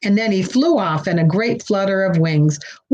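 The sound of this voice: The pitch moves in an ordinary way as someone reads in an unforced voice.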